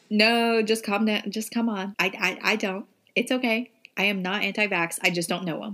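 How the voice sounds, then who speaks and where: A woman's bright, sharp voice at medium pitch, with a Southern US accent, fairly even intonation and a moderate pace. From Tennessee. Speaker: podcast co-host. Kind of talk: casual chat.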